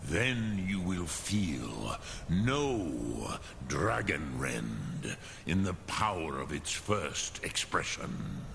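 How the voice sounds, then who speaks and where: A man performs a put-on character voice, very deep and low, at a very slow pace over clear background noise. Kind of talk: epic fantasy game voice acting. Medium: video game. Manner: slow, solemn, measured, sprinkled with dragon words.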